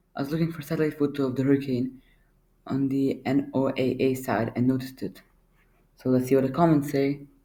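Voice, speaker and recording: In a monotone, flat intonation, a man speaks with a dark, mellow tone. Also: medium pitch for a man, fairly quick pace. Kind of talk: casual reaction commentary. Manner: hesitant, stuttering.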